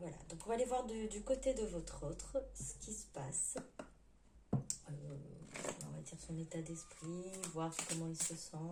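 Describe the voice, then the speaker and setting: The speech moves at a fairly slow pace, with long, frequent pauses. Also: woman. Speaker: tarot card reader. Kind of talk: tarot reading for viewers. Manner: hesitant, many fillers; forcing voice louder.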